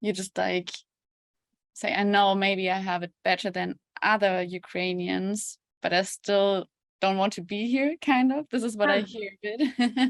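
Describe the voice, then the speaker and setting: A woman with a plain, everyday voice, medium pitch, ordinary pitch variation and a fairly slow pace, in a dry, close sound with no echo. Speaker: freelance journalist, interviewer. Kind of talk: interview questions.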